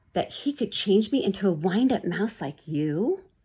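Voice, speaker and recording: The female-sounding voice is a put-on character voice at a medium pitch for a woman. It sounds shaky and moves at a moderate pace. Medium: read story. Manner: quivering, timid.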